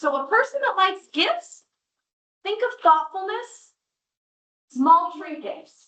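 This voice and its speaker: A woman with an American accent speaks in a raised, projected voice at an extremely high pitch, her tone bright and sharp and her pitch swinging very widely. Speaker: school parent workshop presenter. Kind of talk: parent workshop presentation. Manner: animated.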